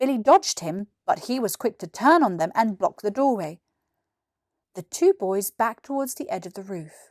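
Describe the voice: A woman speaks at medium pitch in a dry, close sound with no echo. The recording is very clean, with a silent background. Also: lively intonation, moderate pace.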